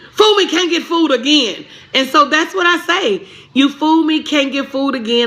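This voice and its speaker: With a Southern US accent, a woman talks in an animated tone at a moderate pace, her intonation lively. Noticeable background noise runs underneath. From Tennessee, Pulaski. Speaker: business coach. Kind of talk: live stream chat.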